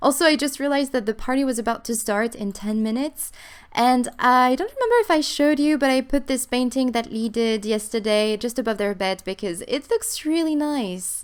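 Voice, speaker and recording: A woman with a non-native accent speaks at a fairly quick pace in a high pitch with ordinary pitch variation. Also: hardly any pauses. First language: not English. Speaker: gaming YouTuber. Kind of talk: let's play commentary. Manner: animated.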